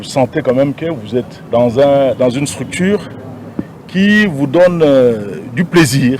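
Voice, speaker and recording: A man's fairly high voice, very slow and lively in intonation, against noticeable background noise. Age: 60s. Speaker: city governor. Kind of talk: press interview. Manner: halting, with hesitations.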